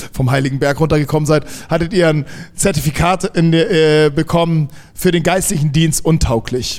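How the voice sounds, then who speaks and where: A man's fairly high voice, moderate in pace, with fairly even intonation. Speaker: church host. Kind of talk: welcome introduction at church service. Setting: church service with congregation. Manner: halting.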